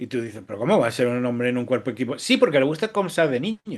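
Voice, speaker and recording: Over a quiet background, a man talks with very wide swings in pitch. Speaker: writer. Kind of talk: interview. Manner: halting, many false starts.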